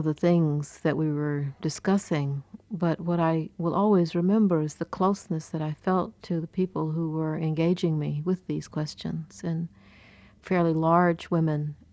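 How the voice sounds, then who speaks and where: Delivered at a fairly slow pace, the speech has a dry sound with no echo. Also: woman. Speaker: interviewee. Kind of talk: poetry reading and interview answer. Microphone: old recording.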